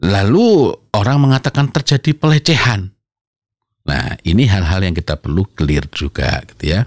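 Against a quiet background, the voice moves at a moderate pace with very wide pitch swings and a dry sound with no echo. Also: man, fairly low pitch for a man. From East Java, Indonesia. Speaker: Islamic parenting speaker and author; speaker. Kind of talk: interview talk on parenting. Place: studio. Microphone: studio mic.

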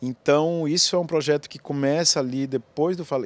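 The man talks at a moderate pace with ordinary pitch variation. The sound is dry, with no echo. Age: 50s. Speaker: film director. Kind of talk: interview. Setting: film festival. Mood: reflective, moved. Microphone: handheld.

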